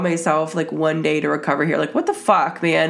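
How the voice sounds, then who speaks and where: At a fairly quick pace, a woman with a wheezy voice speaks with very wide pitch swings. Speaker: podcast host. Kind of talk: casual solo monologue. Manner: sniffly, wheezing.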